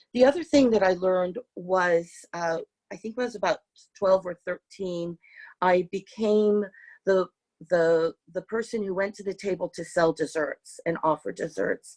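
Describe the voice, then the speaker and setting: A woman with a Californian accent speaks at medium pitch and a moderate pace, with ordinary pitch variation, big swings in loudness, and a dry, close sound with no echo. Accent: Californian American English. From San Francisco, US. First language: Hungarian. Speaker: artist. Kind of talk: interview talk with slides. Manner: hesitant, many fillers.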